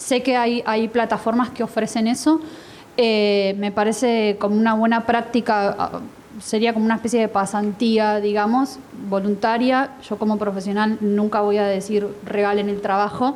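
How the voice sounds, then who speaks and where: A woman speaks at a moderate pace with a fairly high pitch. Her delivery is monotone and flat, with very even loudness. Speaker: translator and panelist. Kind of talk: panel discussion.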